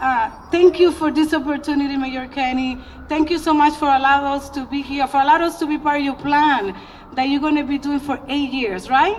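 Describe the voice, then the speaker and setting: With a Spanish accent, a woman talks at a high pitch and a fairly quick pace over noticeable background noise. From Dominican Republic. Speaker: community leader. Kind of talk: public speech. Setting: outdoor ceremony. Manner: animated.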